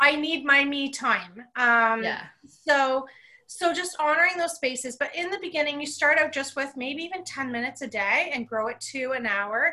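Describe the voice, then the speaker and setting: A woman speaks in a raised, projected voice with a bright, sharp tone. Her high pitch shows ordinary variation at a moderate pace. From Canada. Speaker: psychic medium. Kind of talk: casual interview chat.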